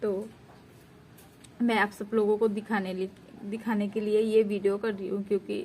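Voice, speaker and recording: A woman's medium-pitched, somewhat breathy voice in a flat monotone. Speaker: village vlogger. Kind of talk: cooking vlog narration. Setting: home kitchen.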